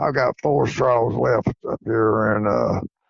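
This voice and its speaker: Here a man speaks in an East Tennessee accent. His pace is fairly slow. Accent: Southern US (East Tennessee). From East Tennessee, US South. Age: 70s. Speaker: coonhound breeder and hunter. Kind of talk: interview.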